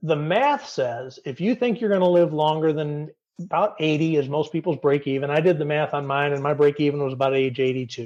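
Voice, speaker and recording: An American-accented man talks at a fairly quick pace with hardly any pauses, in a plain, everyday voice. His pitch is fairly high with ordinary variation, against a quiet background. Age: 50s. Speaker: retirement blogger. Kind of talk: podcast interview.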